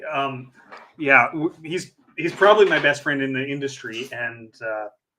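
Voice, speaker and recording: An ordinary speaking voice at a moderate pace carries ordinary pitch variation. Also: man, fairly high pitch for a man. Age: 40s. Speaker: podcast host and hypnotist. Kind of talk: casual chat.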